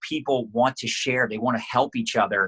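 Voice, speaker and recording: A man's bright, sharp, energetic voice at medium pitch, fairly quick pace, ordinary pitch variation, dry, close sound with no echo. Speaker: network marketing coach. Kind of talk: podcast interview. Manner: fast.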